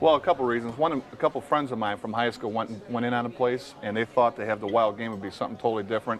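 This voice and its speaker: A man with an American accent speaks at a very fast pace and a medium pitch, with noticeable background noise behind him. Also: ordinary pitch variation. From Chicago. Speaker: restaurant reviewer guest. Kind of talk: casual chat.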